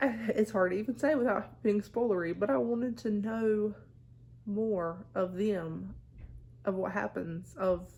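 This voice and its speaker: A dark, mellow voice with a Southern US accent at a fairly slow pace. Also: woman, medium pitch for a woman, ordinary pitch variation. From US South. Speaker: book vlogger. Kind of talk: casual chat.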